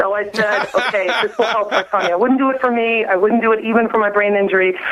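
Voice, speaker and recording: A woman with a fairly high pitch talks at a very fast pace, her intonation fairly even and her loudness very even. Noticeable background noise runs behind her. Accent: American. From New Orleans, US South. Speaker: mother telling health story. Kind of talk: radio interview testimony.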